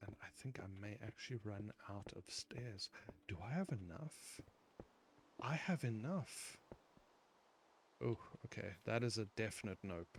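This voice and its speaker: A man with a non-native accent and a fairly low, somewhat breathy voice speaks at a fairly slow pace. He leaves long, frequent pauses, and his intonation is lively. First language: not English. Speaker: gaming youtuber. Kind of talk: gameplay commentary. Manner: hesitant, many fillers.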